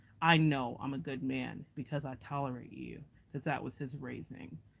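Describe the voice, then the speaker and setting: Speaking with an American accent, a woman uses a very deep, low pitch with vocal fry. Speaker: intuitive empath and advice vlogger. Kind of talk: casual monologue to viewers. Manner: animated.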